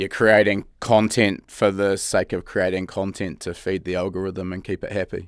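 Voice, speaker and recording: Monotone, flat intonation from a man with a New Zealand accent and a very deep, low pitch, at a moderate pace with hardly any pauses, on a very clean recording with a silent background. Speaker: podcast host. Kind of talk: casual interview chat.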